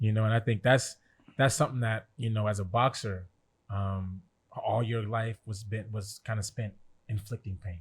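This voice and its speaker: On a very clean recording with a silent background, a man speaks at a moderate pace in a fairly low, somewhat breathy voice with fairly even intonation. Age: 30s. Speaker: podcast co-host. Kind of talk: casual chat.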